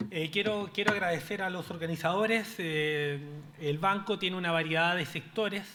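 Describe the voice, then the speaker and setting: Amid noticeable background noise and audible room echo, a man with a high pitch speaks with ordinary pitch variation. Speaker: panelist, pension specialist at development bank. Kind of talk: conference presentation. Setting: stage with audience. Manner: fast.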